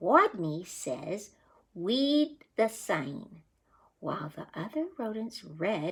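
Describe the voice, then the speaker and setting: A squeaky, put-on character voice moves at a very slow pace, with very wide pitch swings and big swings in loudness. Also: woman, medium pitch for a woman. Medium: read story.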